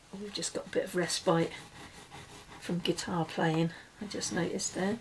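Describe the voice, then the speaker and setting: Against noticeable background noise, a woman with a fairly low pitch talks at a moderate pace and with fairly even intonation. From UK. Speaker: crafter. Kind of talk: tutorial. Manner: casual.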